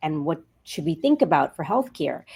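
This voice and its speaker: On a very clean recording with a silent background, a woman with an American accent uses a plain, everyday voice, fairly low in pitch, with lively intonation. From New York. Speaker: healthcare executive. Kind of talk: podcast interview.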